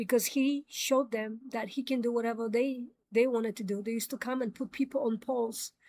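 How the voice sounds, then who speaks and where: A woman speaks with a non-native accent and a fairly high pitch. Her intonation stays monotone and flat. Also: very clean recording, silent background. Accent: foreign. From immigrant, grew up in New York. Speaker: commentary show host. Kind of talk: opinion monologue. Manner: hesitant, many fillers.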